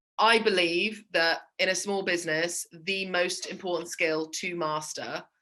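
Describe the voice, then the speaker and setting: A woman speaks with a bright, sharp tone. Her pitch varies in an ordinary way against a quiet background. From England. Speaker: small business sales coach. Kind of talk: interview.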